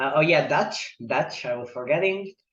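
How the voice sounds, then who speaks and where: A man speaks with an Italian accent. His pace is fairly slow. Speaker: poet and polyglot. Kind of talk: interview conversation.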